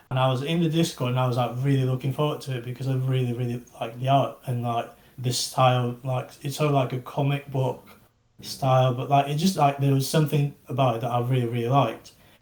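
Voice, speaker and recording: Speaking very fast, a man with an English accent has a medium pitch. His intonation is flat and monotone, and his voice is somewhat breathy. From England. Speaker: NFT project founder. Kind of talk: casual interview. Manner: halting, many fillers.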